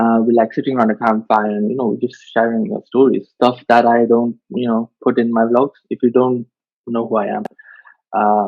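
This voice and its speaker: A man speaks at a medium pitch. He talks with a Mumbai accent. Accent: Indian (Mumbai). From India, Mumbai. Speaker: vlogger, podcast host. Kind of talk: casual chat. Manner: halting, many fillers.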